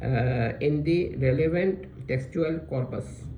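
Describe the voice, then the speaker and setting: The speech moves at a very slow pace. Room echo is audible. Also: man. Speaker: religious lecturer. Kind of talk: lecture. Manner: halting, self-correcting; reading aloud slowly, deliberate.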